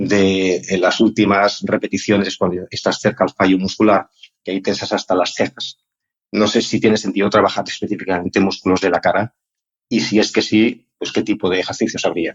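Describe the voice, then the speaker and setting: A man speaks at a moderate pace in a fairly low, monotone voice with flat intonation. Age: 60s. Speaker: listener sending a question. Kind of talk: recorded voice question. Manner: hesitant, with fillers.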